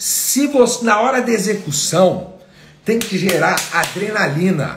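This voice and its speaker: A man with a high pitch and an animated tone speaks at a fairly slow pace with ordinary pitch variation, with audible room echo and noticeable background noise. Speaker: entrepreneurship and finance coach. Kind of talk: live online class. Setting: livestream.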